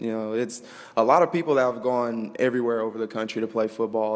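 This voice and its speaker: Against noticeable background noise, a man with an American accent speaks in a monotone, flat intonation. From Mesquite, Texas. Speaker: college football player, interview guest. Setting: live studio audience on campus.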